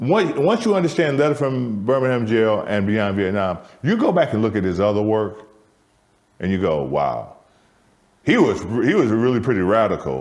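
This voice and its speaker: A man with an American accent and a medium pitch talks at a moderate pace, his pitch swinging very widely, with audible room echo. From US Midwest, Michigan. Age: 60s. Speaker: theatre co-founder. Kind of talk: conversational interview. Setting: soundstage. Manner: repetitive, stammering restarts.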